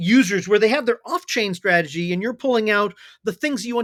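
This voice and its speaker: On a very clean recording with a silent background and a dry, close sound with no echo, the speaker talks very fast in an animated tone with lively intonation. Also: man. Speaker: blockchain company CEO. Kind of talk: podcast interview.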